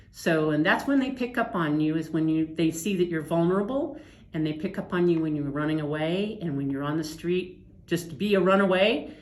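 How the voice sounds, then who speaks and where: A woman speaks with lively intonation, and room echo can be heard. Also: fairly low pitch for a woman. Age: 60s. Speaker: trafficking survivor. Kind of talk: testimony.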